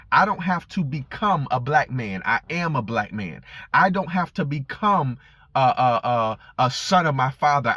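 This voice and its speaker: Over music in the background, a man with a fairly high pitch speaks with very wide pitch swings in a dry, close sound with no echo. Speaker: preacher. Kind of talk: informal sermon. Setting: in a car. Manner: fast; halting with repetitions.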